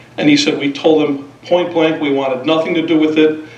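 A man speaks at a fairly quick pace in a monotone, flat intonation, with audible room echo. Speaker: resident giving public comment. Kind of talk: public comment speech. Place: hall. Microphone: podium.

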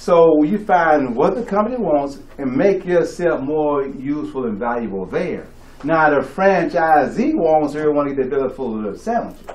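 A man with an American accent speaks at a moderate pace with hardly any pauses, in a fairly high pitch with lively intonation, over noticeable background noise. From Texas. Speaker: motivational speaker at sales meeting. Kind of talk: motivational talk to live audience. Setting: stage with audience.

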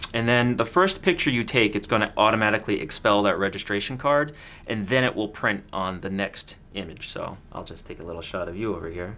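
A man speaks at a fairly quick pace with hardly any pauses, his pitch fairly low. His tone is bright and sharp, with big swings in loudness. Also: ordinary pitch variation. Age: 30s. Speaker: camera store video host. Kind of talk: product review chat. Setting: studio. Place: studio.

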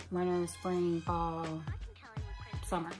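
Faint music plays behind the voice. It belongs to a woman. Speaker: beauty vlogger. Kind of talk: casual unboxing vlog chat. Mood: cheerful, chatty. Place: home room.

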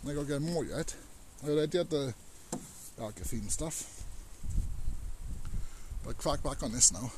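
At a moderate pace and medium pitch, a man speaks with lively intonation and a slightly mellow tone, leaving long, frequent pauses.

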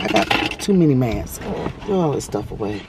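The speech moves at a moderate pace against noticeable background noise. The sound is dry, with no echo. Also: woman. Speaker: vlogger. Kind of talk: casual vlog chat. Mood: relaxed, chatty. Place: car. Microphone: phone near.

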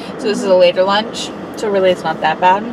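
Fairly quick speech from a woman, dry with no echo, over noticeable background noise. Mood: playful, chatty. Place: car. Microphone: phone near.

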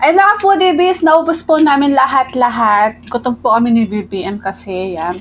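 A woman's high pitch with very wide pitch swings, a moderate pace and hardly any pauses. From Philippines. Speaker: food vlogger. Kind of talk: mukbang eating vlog. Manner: casual, giggly. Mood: satisfied, cheerful. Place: home room.

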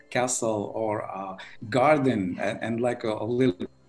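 Faint music plays in the background as a man talks at a fairly slow pace with fairly even intonation. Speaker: remote interview guest. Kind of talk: interview answer. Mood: cheerful, smiling. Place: home room. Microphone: video call.

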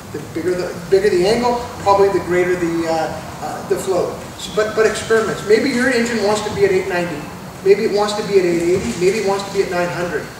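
Very fast speech with fairly even intonation comes through noticeable background noise and audible room echo. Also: man, high pitch for a man. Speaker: presenter. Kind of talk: tutorial. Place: shop. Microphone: camera far.

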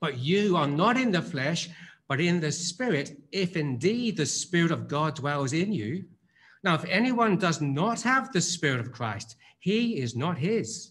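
Very wide pitch swings mark a man's speech at a fairly slow pace. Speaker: preacher. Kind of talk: scripture reading. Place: church. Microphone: podium.

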